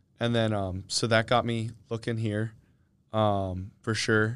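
A man with an American accent talks with fairly even intonation on a very clean recording with a silent background. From Chester County, Pennsylvania. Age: 20s. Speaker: college swimmer. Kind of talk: casual interview. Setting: studio. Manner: hesitant, many fillers.

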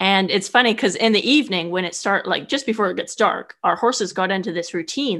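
A woman with an American accent uses a plain, everyday voice at a medium pitch, a fairly quick pace and ordinary pitch variation, over a quiet background. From US West Coast, California Bay Area. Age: 30s. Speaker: horse rider and traveler. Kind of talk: interview storytelling. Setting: remote call.

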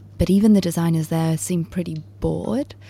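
Noticeable background noise accompanies a woman whose pitch is fairly low. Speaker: producer. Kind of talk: casual chat.

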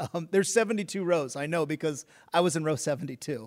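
This fairly quick speaker, with an American accent and ordinary pitch variation, has an unremarkable speaking voice on a very clean recording with a silent background. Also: man. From Oregon. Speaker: podcast host. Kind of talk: interview.

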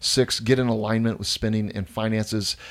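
On a very clean recording with a silent background, a man speaks at a moderate pace and a medium pitch in an unremarkable speaking voice. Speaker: pastor and podcast host. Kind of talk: casual conversation between spouses.

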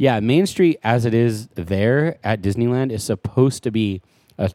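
An unremarkable speaking voice with lively intonation at a moderate pace, in a dry, close sound with no echo. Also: man. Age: 30s. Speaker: podcast co-host. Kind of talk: casual chat.

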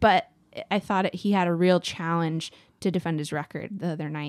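A woman's plain, everyday voice with an American accent, fairly low in pitch with ordinary pitch variation, at a fairly quick pace, on a very clean, dry, close recording with no echo and a silent background. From Texas. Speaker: podcast co-host. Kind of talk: casual political discussion.

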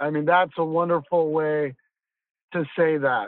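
A man speaks in an unremarkable speaking voice. His pitch sits fairly high for a man, at a moderate pace. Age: 50s. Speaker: podcast host. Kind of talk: casual chat.

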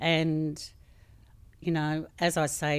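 The speaker is a woman with an Australian accent. The recording is very clean, with a silent background. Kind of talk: interview.

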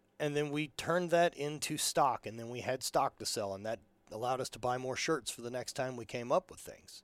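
In a very clean recording with a silent background and a dry, close sound with no echo, a man uses a normal speaking voice at a moderate pace with ordinary pitch variation. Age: 30s. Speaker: entrepreneur and apparel company owner. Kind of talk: casual chat.

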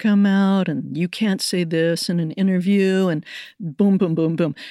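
A woman with an American accent has an unremarkable speaking voice at medium pitch and a fairly slow pace. The sound is dry and close with no echo, on a very clean recording with a silent background. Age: 60s. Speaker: poet and professor. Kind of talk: interview.

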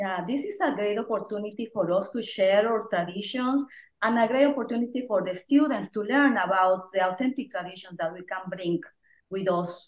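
This woman has a Mexican accent and a medium pitch. She talks at a moderate pace with ordinary pitch variation. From Oaxaca, Mexico. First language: Spanish. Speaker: Spanish and music teacher. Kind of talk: casual chat.

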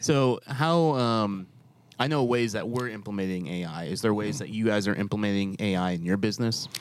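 Speaking with an American accent, a man uses an unremarkable speaking voice at a fairly low pitch and moderate pace. His intonation is lively. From New York. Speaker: podcast host. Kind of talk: casual chat. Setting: studio.

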